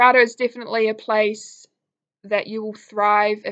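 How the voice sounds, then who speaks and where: In a New Zealand accent, a woman speaks at a moderate pace and medium pitch. Her intonation is monotone and flat, against a quiet background. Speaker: college alum. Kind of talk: testimonial talk to camera. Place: home room. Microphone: webcam.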